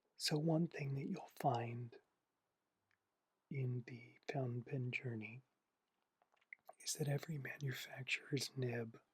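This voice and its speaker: Someone speaks at a fairly slow pace in a relaxed tone, leaving long, frequent pauses. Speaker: fountain pen and journaling hobbyist. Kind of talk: ASMR relaxation video, casual talk to camera about fountain pens. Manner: soft-spoken, slow, relaxed.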